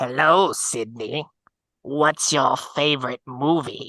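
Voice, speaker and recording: A raspy, put-on character voice at a low-to-middle pitch. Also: fairly slow pace. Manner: menacing, taunting.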